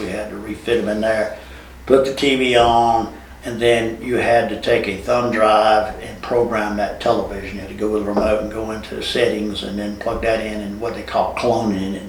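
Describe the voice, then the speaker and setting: The speaker talks at a moderate pace in a flat, monotone delivery. Noticeable background noise and audible room echo are present. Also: man. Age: 70s. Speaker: TV installation and security camera business owner. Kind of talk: podcast interview. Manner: halting, with repeated words.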